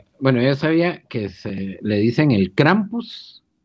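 Very wide pitch swings mark this very slow delivery. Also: man. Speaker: podcast co-host. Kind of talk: casual chat.

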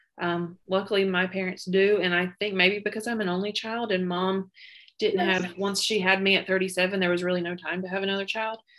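A woman speaks at a fairly quick pace in a medium pitch. Her delivery is monotone, with flat intonation. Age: 30s. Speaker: podcast guest, school worker. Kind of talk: casual chat.

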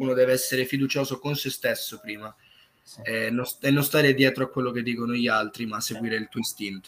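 An unremarkable speaking voice from a man, medium in pitch, at a fairly quick pace, with fairly even intonation and big swings in loudness. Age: young. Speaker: singer-songwriter. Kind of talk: interview. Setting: live stream.

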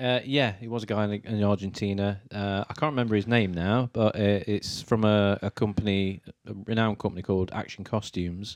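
Here is a man with a plain, everyday voice, fairly low in pitch and fairly even in intonation. He speaks at a fairly quick pace against a quiet background. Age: 40s. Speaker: podcast guest, Superman fan and cosplayer. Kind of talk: casual chat.

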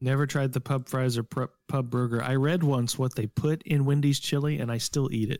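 A man with a plain, everyday voice speaks at a medium pitch with fairly even intonation and very even loudness. The recording is very clean, with a silent background and a dry, close sound with no echo. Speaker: gaming podcast co-host. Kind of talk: casual chat.

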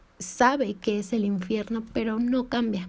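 Somewhat breathy, a woman speaks very slowly with a fairly high pitch and fairly even intonation. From Mexico. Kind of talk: devotional talk.

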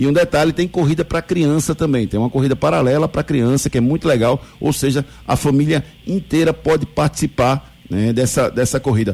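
With vocal fry and a fairly high pitch, a man speaks at a fairly quick pace. His loudness stays very even, and his pitch varies in an ordinary way. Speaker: radio sports host. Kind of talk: live radio show presenting. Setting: radio studio, live broadcast. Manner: animated, upbeat.

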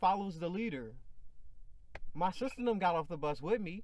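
Here a man speaks with a high pitch. His pace is fairly quick. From Chicago. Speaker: podcast host. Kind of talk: casual chat.

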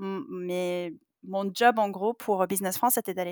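A woman's medium-pitched voice on a very clean recording with a silent background, dry and close with no echo. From US, California (Palo Alto). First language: English (speaking French). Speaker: tech startup campus director. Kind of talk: interview.

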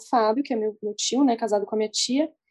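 A woman's voice with a dark, mellow tone. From interior of São Paulo state, Brazil. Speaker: journalist and surf blogger. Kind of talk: casual interview.

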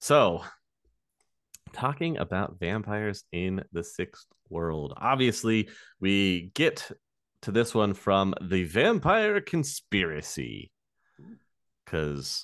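A man's fairly low voice at a very slow pace, with very wide pitch swings and a dry, close sound with no echo. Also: quiet background. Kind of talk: casual chat. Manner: animated.

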